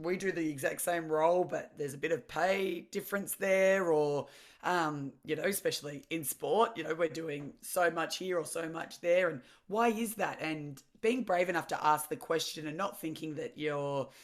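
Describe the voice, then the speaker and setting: With an Australian accent, the speaker talks at a moderate pace with ordinary pitch variation, on a very clean recording with a silent background. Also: woman, fairly low pitch for a woman. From Victoria, Australia (Mornington Peninsula). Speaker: former professional athlete. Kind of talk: interview. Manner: loud.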